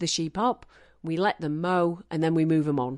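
A woman's very deep, low voice against a quiet background. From northern England (Manchester). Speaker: farmer. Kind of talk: interview.

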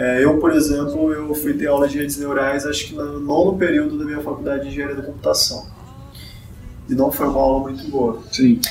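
Amid noticeable background noise and audible room echo, a man speaks at a fairly high pitch with fairly even intonation. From Brazil, Maranhão. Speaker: machine learning consultant and researcher. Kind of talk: podcast interview. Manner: hesitant, many fillers.

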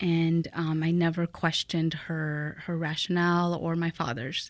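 A woman with a Midwestern US accent speaks at a moderate pace and fairly low pitch. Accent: US Midwest. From Mexico, raised in Fort Wayne, Indiana from age eight. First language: Spanish. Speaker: guest sharing immigrant story. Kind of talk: interview conversation.

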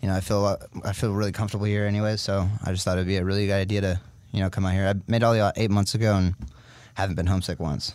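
A man with a Californian accent speaks very fast in a fairly low, monotone, flat voice. His loudness stays very even, and the recording is very clean with a silent background. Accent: Californian American. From US, California (Sacramento). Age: 20s. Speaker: firefighter. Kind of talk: casual interview chat.

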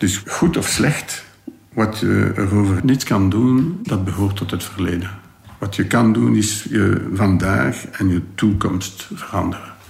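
A man's fairly low voice at a very slow pace, ordinary pitch variation, noticeable background noise. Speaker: convicted gangster. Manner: halting, reflective.

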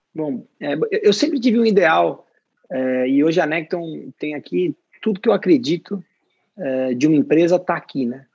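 A high-pitched man at a moderate pace, lively intonation, long and frequent pauses, and a dry, close sound with no echo. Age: 30s. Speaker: company CEO. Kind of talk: interview.

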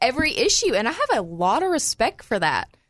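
A woman with a Southern US accent speaks with very wide pitch swings. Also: quiet background. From Arkansas. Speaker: law student and gun rights activist. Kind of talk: casual chat. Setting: studio.

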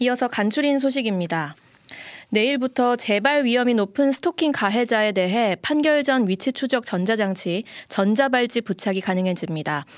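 A woman's plain, everyday voice, fairly high and lively in intonation, at a moderate pace with very even loudness, on a very clean recording with a silent background. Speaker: radio news anchor. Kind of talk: news reading. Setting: studio.

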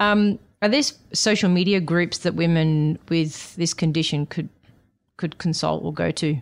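A woman with an ordinary speaking voice, fairly low pitch and a fairly slow pace. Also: ordinary pitch variation. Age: 40s. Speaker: doctor and podcast host. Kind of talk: interview; scripted narration. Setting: in-person studio.

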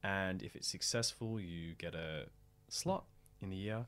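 Speaking at a very slow pace, a man with an Australian accent uses a fairly low pitch and ordinary pitch variation. The recording is very clean, with a silent background. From Australia, Melbourne. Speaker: actor, theatre director and playwright. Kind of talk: casual interview.

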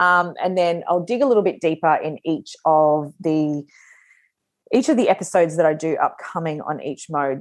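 Against a quiet background, a woman with an Australian accent speaks at a fairly slow pace and fairly low pitch. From Australia, northern New South Wales. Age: 40s. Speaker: podcast host and business mentor. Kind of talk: solo podcast monologue. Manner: casual, chatty with filler words.

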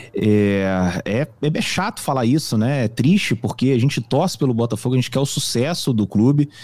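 An ordinary speaking voice, with lively intonation, keeps a moderate pace at a very even loudness. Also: man, medium pitch for a man. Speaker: football fan commentator. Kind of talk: casual sports discussion.

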